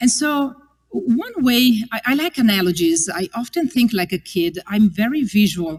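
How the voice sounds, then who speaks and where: A woman with an Italian accent speaks at a moderate pace. Her fairly high voice moves through very wide pitch swings. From Italy. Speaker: religious sister giving a parish mission. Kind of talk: parish mission talk.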